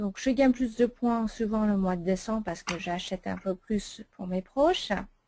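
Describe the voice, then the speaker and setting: A woman speaks with an American accent. Her pitch is fairly high and varies in an ordinary way. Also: moderate pace. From United States. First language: English (speaking French). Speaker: essential oils consultant. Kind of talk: sales presentation webinar. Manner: hesitant, many fillers.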